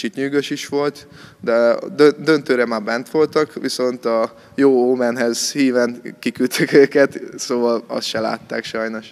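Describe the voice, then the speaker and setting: A man's medium-pitched voice at a very slow pace, with monotone, flat intonation. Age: 20s. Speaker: judo athlete. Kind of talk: interview. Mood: calm, modest, slightly shy. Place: gym. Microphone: handheld.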